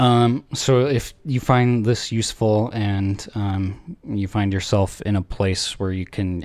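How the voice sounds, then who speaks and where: Speaking very slowly, a man with a fairly low voice shows ordinary pitch variation. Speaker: podcast host. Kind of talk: casual chat.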